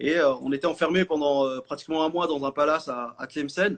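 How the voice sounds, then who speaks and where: A man speaking at a fairly quick pace. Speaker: chef and TV presenter. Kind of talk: interview conversation. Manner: hesitant, many fillers and repetitions.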